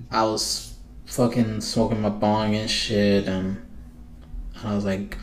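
There is audible room echo as a man talks fairly slowly at a fairly low pitch with fairly even intonation. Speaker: podcast host. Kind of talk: casual chat. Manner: stuttering.

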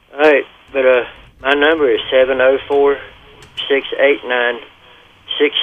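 Noticeable background noise sits behind a man with a fairly high pitch. He talks at a fairly slow pace with long, frequent pauses. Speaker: caller. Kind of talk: casual phone chat. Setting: phone call.

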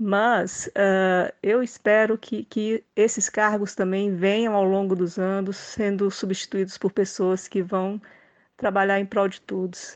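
The woman speaks at a very slow pace. Her intonation is monotone and flat over a quiet background. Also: medium pitch for a woman, dry, close sound with no echo. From Brazil. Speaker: political commentator. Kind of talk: casual chat.

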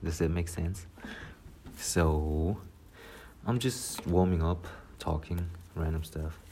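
At a very slow pace, a man speaks in a very deep, low voice that is somewhat breathy, with a dark, mellow tone. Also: ordinary pitch variation. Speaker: solo podcaster. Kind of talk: casual monologue. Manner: rambling, hesitant.

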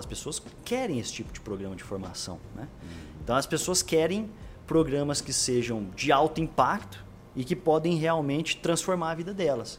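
A man with a fairly high pitch, very wide pitch swings and vocal fry. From Brazil, Franca (São Paulo state interior). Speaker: growth marketing executive. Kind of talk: casual interview chat.

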